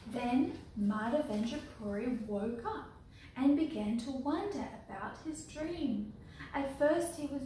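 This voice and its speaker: A woman with a high pitch speaks very slowly with lively intonation. Room echo and light background noise can be heard. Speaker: storyteller and deity clothing maker. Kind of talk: reading a story aloud from a book, children's storytime style. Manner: slow, clear, unhurried pacing with direct address to viewers. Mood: gentle, calm. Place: home room. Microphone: camera far.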